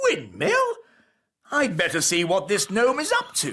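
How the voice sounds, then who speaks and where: A cartoonish character voice at a moderate pace. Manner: posh, blustering.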